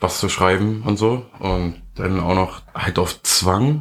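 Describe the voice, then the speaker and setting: This very clean recording, with a silent background, captures a man talking. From Germany. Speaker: podcast co-host. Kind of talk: casual chat.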